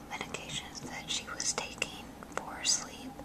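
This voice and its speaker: A woman whispering in a relaxed tone, with noticeable background noise. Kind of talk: ASMR show and tell. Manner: whispered; soft-spoken, relaxed.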